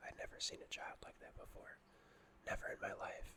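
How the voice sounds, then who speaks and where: Whispering at a fairly quick pace. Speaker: ASMR narrator. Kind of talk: horror story reading. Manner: whispered.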